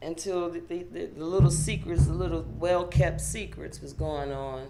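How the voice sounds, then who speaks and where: A woman with an American accent at a fairly slow pace, with noticeable background noise and audible room echo. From Pittsburgh, Pennsylvania, US. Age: young. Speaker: author and motivational speaker. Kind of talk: interview testimony. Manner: halting, repeats words.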